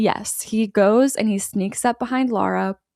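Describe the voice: The pitch moves with ordinary variation. It is plain reading aloud.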